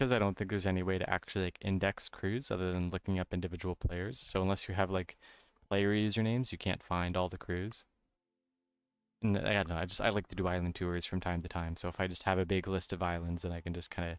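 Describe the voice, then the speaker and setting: A man's very deep, low voice, flat and monotone, at a very fast pace, dry and close with no echo, on a very clean recording with a silent background. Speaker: game streamer. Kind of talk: casual chat.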